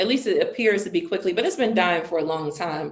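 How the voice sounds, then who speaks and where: A woman with an American accent, with audible room echo. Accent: American accent, noticed by South Africans. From United States. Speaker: interview guest, travel entrepreneur. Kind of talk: casual interview. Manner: emphatic, animated.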